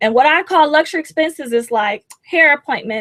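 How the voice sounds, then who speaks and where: Raised and projected, a woman's voice carries a bright, sharp tone with lively intonation at a moderate pace, in a dry, close sound with no echo. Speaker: personal finance coach. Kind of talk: webinar tutorial. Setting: live webinar.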